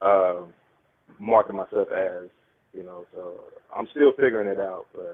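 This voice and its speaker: A man with a Southern US accent speaks at a fairly slow pace with long, frequent pauses and big swings in loudness. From West Tennessee (Dyersburg). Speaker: DJ and videographer. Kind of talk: casual chat. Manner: halting.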